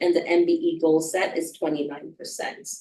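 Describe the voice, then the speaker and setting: Here is a woman with a Jamaican accent. Her pitch is fairly low. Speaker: procurement officer. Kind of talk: business meeting presentation.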